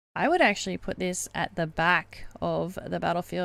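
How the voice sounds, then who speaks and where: In a very clean recording with a silent background, this woman talks at a moderate pace. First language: not English. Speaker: gaming streamer. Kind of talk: tutorial. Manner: hesitant, many fillers.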